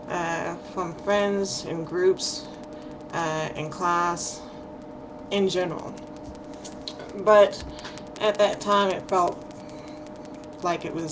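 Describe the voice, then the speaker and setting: A woman mumbles at a very slow pace, leaving long, frequent pauses over noticeable background noise. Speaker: hard of hearing person. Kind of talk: casual talk to camera. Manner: mumbling, hesitant.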